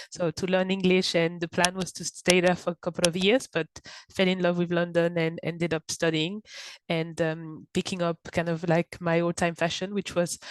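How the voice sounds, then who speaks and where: With a French accent, a woman speaks in a fairly low, monotone, flat voice, and the sound is dry and close with no echo. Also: moderate pace. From France, Paris. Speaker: content marketing director. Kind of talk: podcast interview. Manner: hesitant, many fillers.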